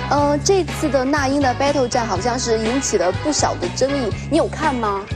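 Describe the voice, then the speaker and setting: A woman speaks at a moderate pace. Music plays clearly in the background. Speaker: TV host. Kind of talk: TV talk show hosting. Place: studio. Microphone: lapel.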